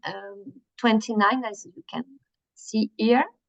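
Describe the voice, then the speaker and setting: A woman speaks with a French accent. The sound is dry and close, with no echo. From France. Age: 50s. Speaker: workshop presenter. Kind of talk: workshop presentation. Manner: slow, hesitant.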